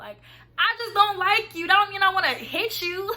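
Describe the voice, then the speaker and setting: A woman speaks in a raised, projected voice at an extremely high pitch and a moderate pace, with music playing in the background. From Atlanta, Georgia. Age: 20s. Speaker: college student. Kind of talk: casual storytime talk to camera.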